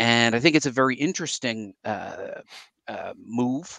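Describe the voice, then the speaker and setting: A man talks at a fairly slow pace. The background is quiet and the sound is dry, with no echo. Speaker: show host. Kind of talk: live show commentary. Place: home room. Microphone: headset.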